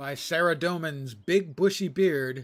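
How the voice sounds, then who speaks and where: A put-on character voice from a man, pitched fairly high and delivered fairly slowly. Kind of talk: archaic, gruff fantasy speech.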